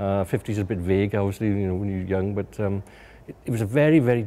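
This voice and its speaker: Speaking with a South Wales accent, a man has a dark, mellow tone, fairly low pitch and fairly even intonation. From Wales, Swansea. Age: 50s. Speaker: local resident recalling industrial history. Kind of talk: documentary interview, reminiscence. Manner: hesitant, with many repetitions and fillers.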